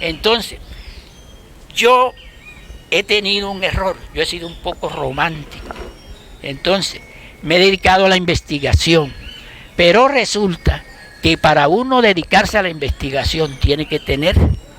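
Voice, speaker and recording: A man speaks at a high pitch with lively intonation and a fairly slow pace. He leaves long, frequent pauses over noticeable background noise. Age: 70s. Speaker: school founder and local historian. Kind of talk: community talk.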